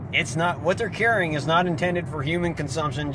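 Loud background noise surrounds a man whose voice comes through in a dry sound with no echo. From central Ohio. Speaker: gaming YouTuber. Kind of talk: casual vlog commentary. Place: car.

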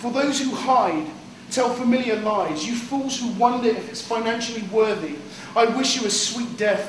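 A man's high-pitched, intense voice at a fairly slow pace, with audible room echo and light background noise. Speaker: poet. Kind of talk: poem performance; casual banter. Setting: live in a cafe, audience present. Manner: animated, self-deprecating, casual, with laughs; intense, rhythmic, rhyming delivery in poem. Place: cafe.

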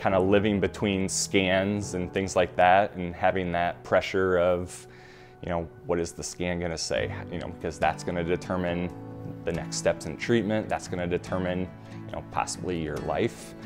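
A man speaks at a very deep, low pitch. Clear music plays in the background. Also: moderate pace. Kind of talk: interview answer. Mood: earnest, reflective. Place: home room. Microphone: lapel.

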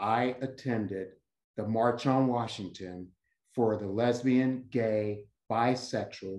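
A man's very slow speech with ordinary pitch variation, audible room echo and a quiet background. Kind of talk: panel remarks, personal story. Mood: earnest, reflective. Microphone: video call.

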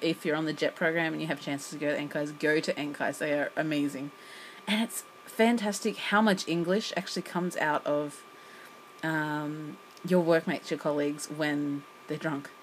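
At a moderate pace, a woman speaks in a very deep, low voice with ordinary pitch variation over light background noise. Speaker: English teacher vlogger. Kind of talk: casual vlog chat. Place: home room. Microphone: phone near.

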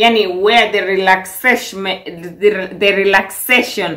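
A woman speaks at a very slow pace in a bright, sharp tone. The background is quiet. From Kenya. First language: Swahili. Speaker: vlogger. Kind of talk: vlog monologue, casual. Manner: animated, upbeat, chatty. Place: kitchen. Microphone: phone near.

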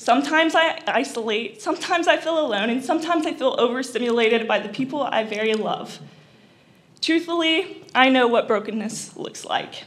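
A woman talks at a fairly quick pace in a high voice. Her intonation is lively. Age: young. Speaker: college student; speaker. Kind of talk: prepared speech. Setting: stage with audience. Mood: personal, emotional testimony. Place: hall. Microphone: podium.

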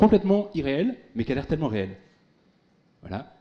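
A man speaks at a fairly quick pace with a dark, mellow tone and vocal fry. His pitch swings very widely. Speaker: tech speaker, former big-tech employee; speaker. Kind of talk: conference keynote. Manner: fast. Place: hall. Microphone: handheld.

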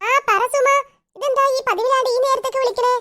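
In a cartoonish character voice, a woman speaks at an extremely high pitch and a fairly quick pace, her intonation monotone and flat. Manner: chatty, conspiratorial.

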